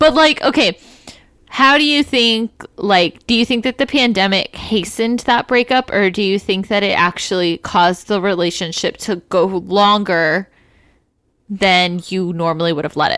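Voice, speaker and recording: Recorded very cleanly against a silent background, an unremarkable speaking voice moves at a moderate pace with lively intonation. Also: woman, medium pitch for a woman. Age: 20s. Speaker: teacher and podcast co-host. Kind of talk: casual chat.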